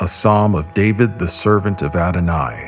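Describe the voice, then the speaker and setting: Over music in the background, a man talks at a very slow pace with ordinary pitch variation. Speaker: voice actor. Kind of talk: dramatic scripture reading with background music. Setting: studio.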